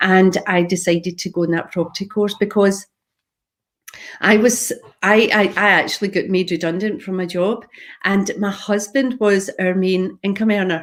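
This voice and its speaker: Speaking with a Scottish accent, a woman uses a medium pitch, fairly even intonation and a moderate pace. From Scotland, Glasgow. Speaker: property investor. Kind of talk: live talk on own story.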